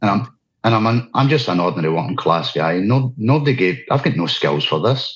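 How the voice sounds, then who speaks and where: Very wide pitch swings and vocal fry in a Scottish accent, with very even loudness, a fairly quick pace and a quiet background. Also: man, medium pitch for a man. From Scotland. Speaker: activist speaker. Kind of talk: interview. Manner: unscripted, halting.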